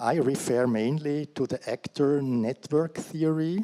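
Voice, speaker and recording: A man with a Swiss accent and a dark, mellow tone, very slow pace, ordinary pitch variation, and a very clean, dry, close recording with no echo and a silent background. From Switzerland. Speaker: career guidance practitioner. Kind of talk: conference talk read from paper. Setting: conference stage. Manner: hesitant, with fillers.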